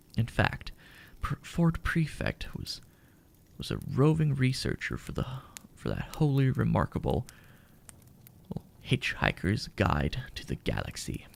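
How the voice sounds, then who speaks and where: A soft-spoken, whispering man at a fairly slow pace, with long, frequent pauses. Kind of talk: audiobook-style reading of a novel for ASMR. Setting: home recording with fireplace sound in background. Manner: soft-spoken, whispered.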